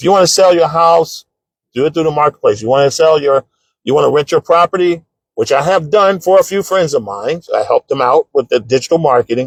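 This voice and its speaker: In a dry, close sound with no echo, a man with a fairly high pitch and ordinary pitch variation talks at a fairly quick pace. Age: 60s. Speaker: author and business coach. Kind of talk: live-stream talk. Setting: home living room. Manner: casual, halting.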